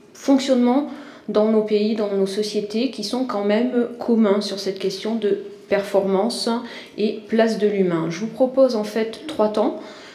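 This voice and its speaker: A woman speaks at a fairly slow pace with a fairly high pitch and ordinary pitch variation. Noticeable background noise and audible room echo are present. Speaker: university lecturer and author. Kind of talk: conference talk. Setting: conference with audience. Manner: hesitant, many fillers.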